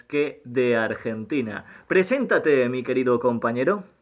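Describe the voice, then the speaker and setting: A man with a Spanish accent speaks fairly slowly with lively intonation over noticeable background noise. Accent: Peninsular Spanish. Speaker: podcast co-host. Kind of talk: casual interview chat.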